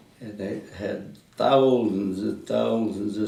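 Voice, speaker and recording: In a Midwestern American accent, a man talks at a very slow pace. His pitch is fairly low and his intonation fairly even. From Indiana, USA. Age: 90s. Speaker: World War Two army veteran. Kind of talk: oral history interview answer.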